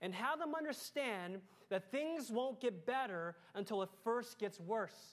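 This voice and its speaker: A woman's unremarkable speaking voice, fairly high in pitch, with lively intonation at a fairly slow pace. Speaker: pastor. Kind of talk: sermon. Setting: church.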